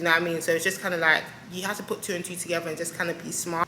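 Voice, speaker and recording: There is audible room echo and noticeable background noise. Through it, a woman speaks at a fairly low pitch. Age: 20s. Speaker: vlogger and lash technician. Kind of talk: casual sit-down chat to camera. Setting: solo to camera. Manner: animated.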